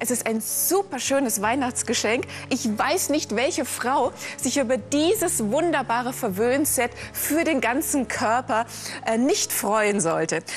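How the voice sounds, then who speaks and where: A woman at a high pitch, very slow in pace, with very wide pitch swings, very even loudness and music in the background. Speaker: teleshopping presenter. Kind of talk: sales pitch. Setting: live TV shopping studio. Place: studio. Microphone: lapel.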